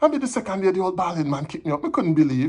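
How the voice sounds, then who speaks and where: A man with a Jamaican accent talks at a very fast pace with lively intonation against a quiet background. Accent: Jamaican Patois. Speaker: poetry reader. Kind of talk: poetry reading.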